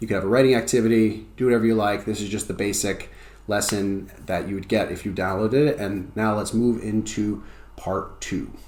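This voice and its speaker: Speaking at a fairly quick pace with fairly even intonation, a man with a fairly low voice is heard over audible room echo. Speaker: ESL teacher. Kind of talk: tutorial. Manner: fast; casual, conversational.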